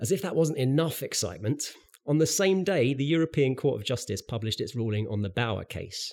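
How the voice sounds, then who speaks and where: A speaker with a British accent talks at a fairly quick pace, making very wide pitch swings. The recording is very clean, with a silent background. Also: man, medium pitch for a man. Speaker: podcast host. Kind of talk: corporate podcast interview.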